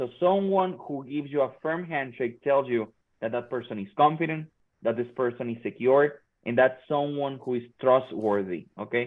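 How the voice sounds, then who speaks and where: A man with a Spanish accent speaks at a moderate pace. His pitch is fairly high, with ordinary variation. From Mexico. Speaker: workforce trainer. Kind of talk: workshop talk.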